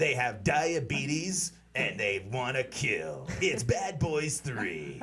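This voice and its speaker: Using a put-on character voice, a man speaks at a very slow pace at a medium pitch with very wide pitch swings. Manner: dramatic, promotional.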